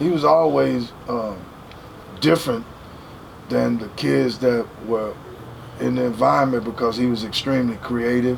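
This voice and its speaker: Noticeable background noise and audible room echo surround a man at a medium pitch. His intonation is lively, his pace moderate, and he leaves long, frequent pauses. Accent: American. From Dallas, Texas. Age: 60s. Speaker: record label executive. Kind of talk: casual interview.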